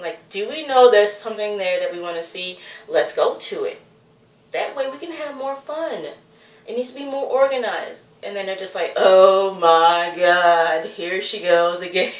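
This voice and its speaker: A woman talks at a moderate pace with medium pitch and lively intonation. Her tone is animated, and the room echo is audible. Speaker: vlogger. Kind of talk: casual vlog monologue. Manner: rambling, self-interrupting.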